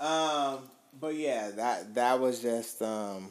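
The speaker is a man. His intonation is lively. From Augusta, Georgia, US South. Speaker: podcast co-host. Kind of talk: casual chat. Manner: animated.

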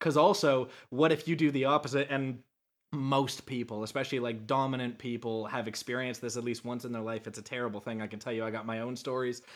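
A man speaks at a very fast pace, medium in pitch, with fairly even intonation. The recording is very clean, with a silent background. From Canada. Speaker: ADHD speaker and advocate. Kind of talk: casual chat.

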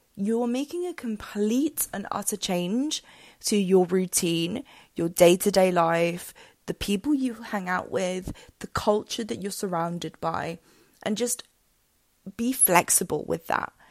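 A woman speaks with an English accent and lively intonation. Her pace is fairly slow, and the sound is dry and close with no echo. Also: medium pitch for a woman, very clean recording, silent background. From England. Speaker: podcast host. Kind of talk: solo podcast monologue with tips.

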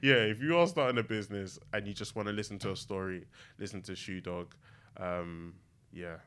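With a London accent, a man talks in a fairly low voice with lively intonation. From East London, Newham. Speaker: drinks brand co-founder. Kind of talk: casual chat. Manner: halting, many fillers.

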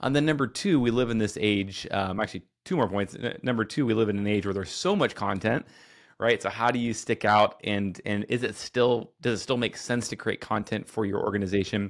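In a very clean recording with a silent background, a man with an ordinary speaking voice talks at a fairly quick pace in a medium pitch, with ordinary pitch variation. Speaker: podcast host. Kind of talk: casual interview conversation. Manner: conversational, filler words.

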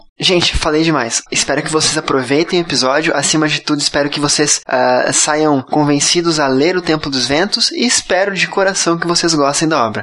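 Talking very fast at a fairly high pitch, a man uses ordinary pitch variation while noticeable background noise runs underneath. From southern Brazil, Curitiba. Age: 30s. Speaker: podcast host and debut author. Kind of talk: casual chat. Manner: shaky voice.

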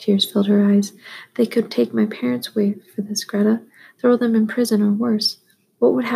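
An unforced reading voice comes through against a quiet background.

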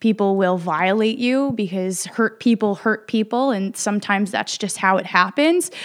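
A woman talks in an ordinary speaking voice at a medium pitch, moderate pace and with hardly any pauses. Her pitch varies in an ordinary way, and the recording is very clean with a silent background. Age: 30s. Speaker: yoga instructor. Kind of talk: testimony.

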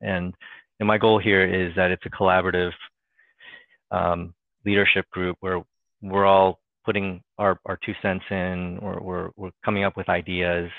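In an American accent, a man speaks at a very deep, low pitch with monotone, flat intonation. He goes fairly slowly, with long, frequent pauses. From Northern Virginia, US East Coast. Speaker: trade compliance manager, employee group chair. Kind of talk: casual interview. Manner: hesitant, many fillers and repetitions.

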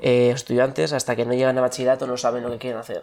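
A man with a medium-pitched voice talks very fast. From Spain, Basque Country (Bilbao). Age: 20s. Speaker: former tourism student. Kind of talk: interview.

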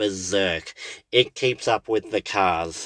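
A man with an Australian accent talks at a fairly slow pace. The sound is dry and close with no echo, on a very clean recording with a silent background. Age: 30s. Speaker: podcast host and bus driver. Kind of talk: casual solo monologue. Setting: in a parked car. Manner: halting, many fillers.

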